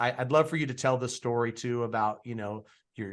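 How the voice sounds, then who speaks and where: Over a quiet background, a man talks at a fairly quick pace in an unremarkable speaking voice. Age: 40s. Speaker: podcast host. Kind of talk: interview.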